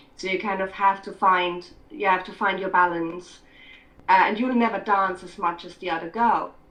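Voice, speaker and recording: A woman talks at a moderate pace with a medium pitch and fairly even intonation. Her loudness swings a lot, and background noise is noticeable. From Scotland. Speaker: writer and filmmaker. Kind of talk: interview. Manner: hesitant.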